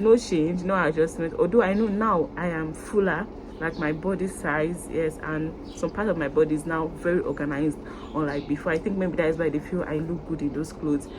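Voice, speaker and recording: Speaking at a fairly quick pace with a Nigerian accent, a woman with a fairly low pitch uses ordinary pitch variation over noticeable background noise. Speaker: YouTuber. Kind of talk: vlog to camera. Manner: fast.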